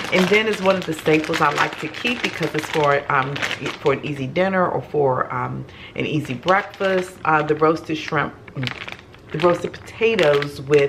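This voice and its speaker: Against noticeable background noise, a woman speaks with a very deep, low pitch. Her pace is moderate, with ordinary pitch variation. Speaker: home vlogger. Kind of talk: casual haul vlog chat. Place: kitchen. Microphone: camera far.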